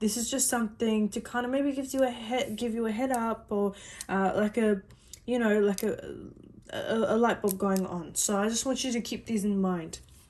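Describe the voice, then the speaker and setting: A woman talks at a moderate pace with a fairly high pitch and fairly even intonation. Hers is a plain, everyday voice. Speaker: psychic reader. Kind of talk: personal psychic reading.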